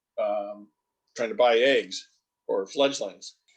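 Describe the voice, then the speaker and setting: This man's pace is moderate. He talks with an American accent. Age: 60s. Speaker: wildlife biologist. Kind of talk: interview. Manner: hesitant, many fillers.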